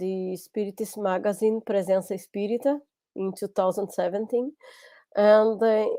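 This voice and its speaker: A woman speaks with a strong non-native accent and a dark, mellow tone. Her intonation is fairly even. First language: Portuguese. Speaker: lecturer. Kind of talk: lecture. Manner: halting.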